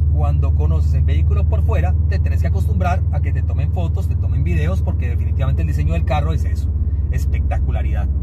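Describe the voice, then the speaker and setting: Over loud background noise, a man talks at a very fast pace, with a dry sound and no echo. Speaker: car reviewer. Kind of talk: car review commentary. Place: car.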